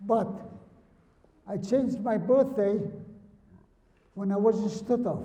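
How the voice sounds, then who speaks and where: A man speaks at a high pitch, fairly slowly, with fairly even intonation and long, frequent pauses. Audible room echo and noticeable background noise run through the clip. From Lithuania. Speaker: Holocaust survivor speaker. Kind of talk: talk with Q&A to students. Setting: high school presentation with audience.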